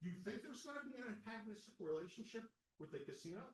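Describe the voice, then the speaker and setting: Loud and with very wide pitch swings, a man talks in a high voice. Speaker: candidate at association election forum. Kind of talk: candidate forum answer. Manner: animated.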